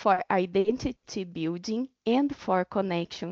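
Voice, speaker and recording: A woman with a medium-pitched voice speaks. She goes very slowly, with ordinary pitch variation. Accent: Portuguese. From Brazil. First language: Portuguese. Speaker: doctoral researcher. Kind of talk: webinar panel talk.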